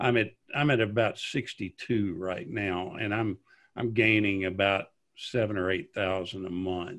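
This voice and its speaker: With a fairly low-pitched voice and fairly even intonation, a man speaks at a very slow pace. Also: very clean recording, silent background. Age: 60s. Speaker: YouTuber on classic television. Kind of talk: interview conversation. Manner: halting, with many repetitions.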